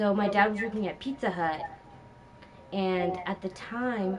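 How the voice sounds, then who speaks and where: A very slow pace in a Spanish accent, with noticeable background noise. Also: woman. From Los Angeles, Inglewood (family from Peru). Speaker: gaming stream co-host. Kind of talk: casual chat.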